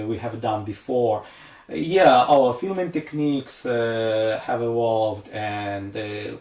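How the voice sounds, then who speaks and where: With a non-native accent, a man speaks at a very slow pace. His pitch is medium, with ordinary variation. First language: not English. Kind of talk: casual talk to camera.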